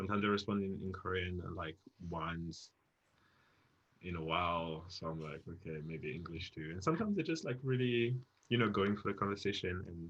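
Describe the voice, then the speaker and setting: A man with a French accent talks at a fairly quick pace in a very deep, low pitch. His pitch varies in an ordinary way, and the background is quiet. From France. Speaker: dance studio guest. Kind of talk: casual chat. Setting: live stream.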